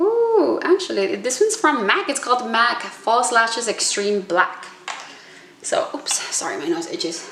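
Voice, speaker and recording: A woman talks fairly slowly in a high voice with very wide pitch swings. Noticeable background noise and audible room echo surround her. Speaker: beauty vlogger. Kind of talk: makeup tutorial.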